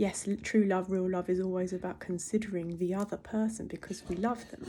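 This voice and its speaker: Heard in a very clean recording with a silent background, a woman speaks at a medium pitch with a dark, mellow tone and fairly even intonation. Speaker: holistic wellness teacher. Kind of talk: casual spiritual monologue. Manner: fast.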